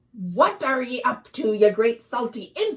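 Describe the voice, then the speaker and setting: Putting on a gruff character voice, a woman speaks at a high pitch and a fairly slow pace with ordinary pitch variation. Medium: read story. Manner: gruff, grumbling.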